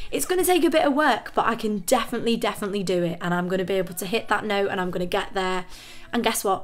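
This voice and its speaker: A woman at medium pitch, ordinary pitch variation, and a very fast pace. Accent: northern English. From northern England. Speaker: vocal coach. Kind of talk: tutorial. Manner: casual, with filler words.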